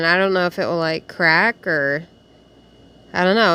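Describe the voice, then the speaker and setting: A woman at a medium pitch and a moderate pace, with ordinary pitch variation. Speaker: miniature dollhouse crafter. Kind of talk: casual voiceover tutorial. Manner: loud; animated.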